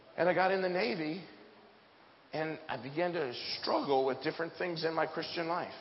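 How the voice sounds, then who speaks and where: A man with an American accent speaks in an animated tone at a fairly high pitch with ordinary pitch variation over noticeable background noise. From US Pacific Northwest. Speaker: preacher. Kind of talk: sermon. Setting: church with audience. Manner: humorous.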